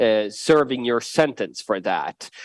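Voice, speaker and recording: In a Swedish accent, a man speaks at a medium pitch, the sound dry and close with no echo and the recording very clean over a silent background. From Sweden. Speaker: politician. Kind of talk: panel discussion. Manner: halting, many fillers.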